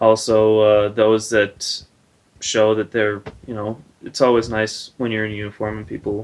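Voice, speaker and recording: A man speaks at a fairly slow pace with a slight Wisconsin accent. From Wisconsin, Milwaukee. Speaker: air force service member. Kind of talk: street interview. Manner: halting.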